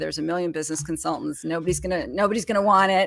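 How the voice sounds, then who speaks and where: A woman speaks in a fairly low register with a bright, sharp tone. Vocal fry creeps into her words. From Canada, Montreal. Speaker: small business consultant. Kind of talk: interview. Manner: halting.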